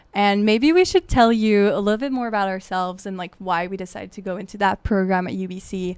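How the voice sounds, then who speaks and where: Talking very fast with hardly any pauses, a woman with a French Canadian accent keeps her intonation fairly even while her loudness swings widely. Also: medium pitch for a woman. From Quebec. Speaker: podcast co-host, graduate researcher. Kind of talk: casual chat.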